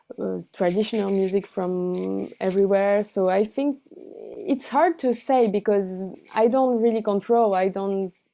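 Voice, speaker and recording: A woman with a Portuguese accent, medium in pitch, dark and mellow in tone, with ordinary pitch variation and a fairly slow pace. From Brazil, with childhood in France and teens in Buenos Aires. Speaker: cellist and singer. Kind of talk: interview. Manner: halting, many fillers and restarts.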